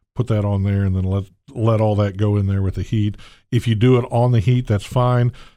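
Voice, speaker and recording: A man with a Southern US accent talks at a fairly quick pace, his fairly low voice dark and mellow in tone and fairly even in intonation, in a very clean recording with a silent background. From US South, Gulf Coast. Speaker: chef. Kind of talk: cooking demo interview. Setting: kitchen. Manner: rambling, halting.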